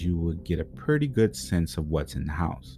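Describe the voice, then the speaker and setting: At a moderate pace, a man with an American accent speaks with a very deep, low pitch and a dark, mellow, somewhat breathy tone. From Pontiac, Michigan. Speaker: true crime podcast host. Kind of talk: scripted narration.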